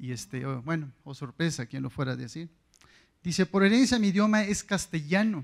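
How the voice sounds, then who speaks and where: A man's fairly high voice at a fairly quick pace, with very wide pitch swings and big swings in loudness, over a quiet background. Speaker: audience member, teacher. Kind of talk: audience question. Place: hall. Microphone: handheld.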